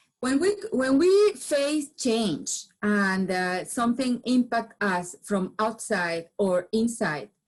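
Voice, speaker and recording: A woman with a Venezuelan accent speaks very slowly with hardly any pauses. Her voice is fairly high, with lively intonation. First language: Spanish. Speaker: business founder and change management speaker. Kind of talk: presentation talk. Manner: halting with frequent repetitions.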